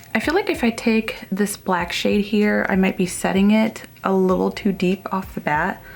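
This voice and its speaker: A woman speaks at a fairly slow pace in a medium pitch, with ordinary pitch variation and very even loudness, against noticeable background noise. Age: 30s. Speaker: beauty vlogger. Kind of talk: makeup tutorial and haul. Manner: quiet, hushed; casual, chatty.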